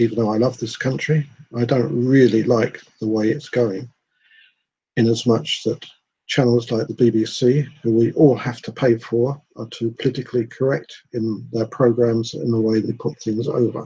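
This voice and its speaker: A man talks at a fairly slow pace in a medium-pitched, dark, mellow tone that is somewhat breathy. His intonation stays fairly even. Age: 60s. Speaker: vlogger. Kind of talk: personal monologue. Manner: hesitant, with many fillers.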